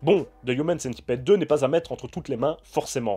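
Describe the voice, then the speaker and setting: Music plays in the background as the speaker goes at a fairly quick pace with ordinary pitch variation. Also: man. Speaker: film critic YouTuber. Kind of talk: film review.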